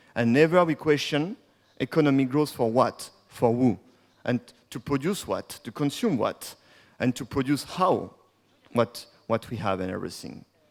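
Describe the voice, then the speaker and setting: In a French accent, a man with a medium pitch speaks at a moderate pace with lively intonation, on a very clean recording with a silent background. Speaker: degrowth activist and speaker. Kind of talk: conference talk.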